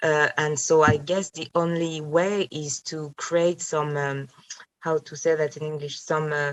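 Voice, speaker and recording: With a French accent, a woman speaks at a fairly slow pace in a very deep, low pitch, her intonation monotone and flat. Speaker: philosopher. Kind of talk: academic seminar discussion. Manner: halting, many fillers.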